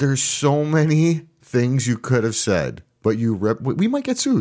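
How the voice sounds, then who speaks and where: This is a man with a plain, everyday voice, pitched fairly high and delivered with lively intonation at a moderate pace. The recording is very clean, with a silent background. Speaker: podcast host. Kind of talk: casual banter podcast.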